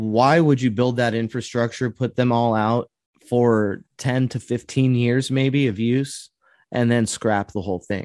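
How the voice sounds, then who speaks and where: In a dry, close sound with no echo and a quiet background, a man speaks at a fairly slow pace and medium pitch with fairly even intonation. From US West Coast (coastal California). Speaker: podcast host, conspiracy theorist. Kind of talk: casual interview. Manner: talkative, interrupts.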